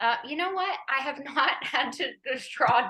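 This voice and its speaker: A fairly slow pace in an American accent. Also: woman. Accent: American, kept despite years in London. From Los Angeles, US. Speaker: actress. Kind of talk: casual interview chat.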